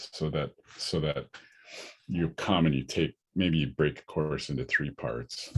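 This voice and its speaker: Vocal fry runs through this voice, which moves at a fairly slow pace. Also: man. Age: 60s. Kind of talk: lecture Q&A. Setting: online discussion. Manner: halting, many repetitions.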